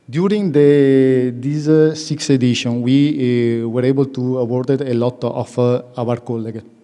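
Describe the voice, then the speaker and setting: Over noticeable background noise, a man with a strong Italian accent talks at a moderate pace, at medium pitch and with fairly even intonation. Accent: self-described strong Italian. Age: under 45. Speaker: young managers' association representative. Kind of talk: public presentation. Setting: conference hall with audience. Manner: halting, many fillers.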